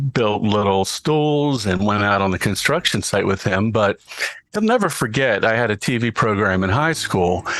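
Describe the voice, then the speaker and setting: With an unremarkable speaking voice, a man speaks at a moderate pace and fairly low pitch, showing ordinary pitch variation and very even loudness. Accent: American. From Baltimore, Maryland, US. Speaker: voice artist and TV show host. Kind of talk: interview.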